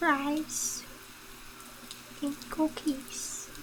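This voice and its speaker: A woman with a high pitch speaks over noticeable background noise. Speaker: vtuber streamer. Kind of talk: casual chat. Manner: relaxed, unmodulated.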